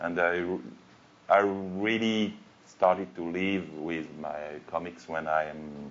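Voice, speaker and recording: A man speaks with a very deep, low pitch. His intonation is fairly even. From France. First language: French. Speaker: cartoonist. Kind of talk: panel discussion. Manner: halting.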